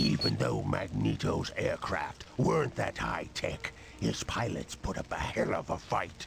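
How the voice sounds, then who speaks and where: A man speaks in a put-on character voice at a fairly slow pace. Clear background noise can be heard. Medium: video game. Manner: casual, explanatory.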